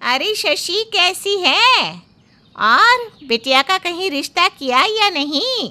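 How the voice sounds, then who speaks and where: A woman puts on a cartoonish character voice at an extremely high pitch, swinging very widely in pitch and talking very slowly. The sound is dry and close, with no echo. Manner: warm, familiar.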